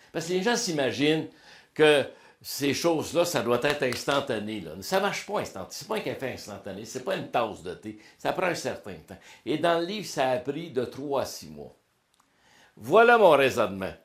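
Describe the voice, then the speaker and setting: Pitched fairly high, a man with a Quebec accent shows vocal fry, very wide pitch swings and big swings in loudness. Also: moderate pace. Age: 60s. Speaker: motivational speaker and coach. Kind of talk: interview testimony. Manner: casual, colloquial.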